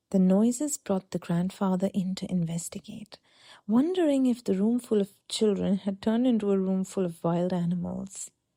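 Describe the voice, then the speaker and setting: A woman's voice, dark and mellow, has a soothing, calm tone and is somewhat breathy. Her pitch varies in an ordinary way, and the sound is dry and close with no echo. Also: very clean recording, silent background. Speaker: sleep story narrator. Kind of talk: sleep story. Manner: soft, soothing, calm.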